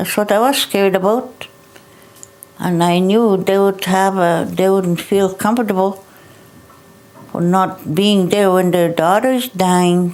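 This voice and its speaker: A woman speaks at a fairly slow, medium pitch with fairly even intonation and very even loudness. Long, frequent pauses break her speech over noticeable background noise. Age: 70s. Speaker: residential school survivor. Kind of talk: testimony.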